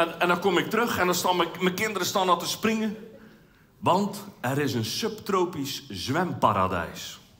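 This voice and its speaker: A man with a high pitch and ordinary pitch variation speaks at a fairly slow pace. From Zeeland, Netherlands. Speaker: amateur cabaret comedian. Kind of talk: stand-up comedy routine. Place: stage. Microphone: headset.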